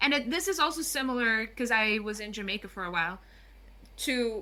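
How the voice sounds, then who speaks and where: A woman with a Curaçao accent, fairly high-pitched, at a moderate pace, amid noticeable background noise. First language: Papiamento. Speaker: guest on language and culture. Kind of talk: podcast interview.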